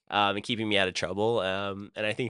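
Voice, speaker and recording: Against a quiet background, a man speaks at a very fast pace in a fairly low voice with a bright, sharp tone. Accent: American. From US Midwest (Columbus, Ohio); high school in South Carolina. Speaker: DJ, producer and former pro tennis player. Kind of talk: casual podcast interview. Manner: loud; hesitant, many fillers and restarts.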